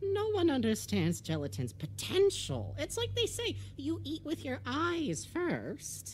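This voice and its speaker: A cartoonish character voice moves at a fairly slow pace with hardly any pauses over clear background noise. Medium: puppet show. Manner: polite, genteel, earnest.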